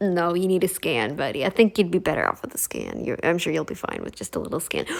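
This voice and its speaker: A woman is speaking. Her tone is animated. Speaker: reaction commentator. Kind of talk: reaction commentary.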